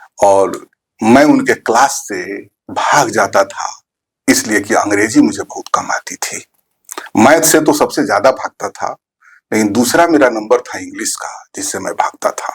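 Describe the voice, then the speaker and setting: Heard in a dry, close recording with no echo, a man with a Bihari accent speaks with big swings in loudness. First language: Bhojpuri (speaking Hindi). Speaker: teacher, poet and author. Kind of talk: interview conversation.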